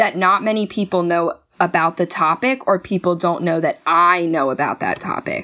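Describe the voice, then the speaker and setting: This is a normal speaking voice from a woman with a fairly low pitch. She talks at a moderate pace. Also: ordinary pitch variation. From Maryland. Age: 20s. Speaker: stage actor. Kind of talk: casual chat.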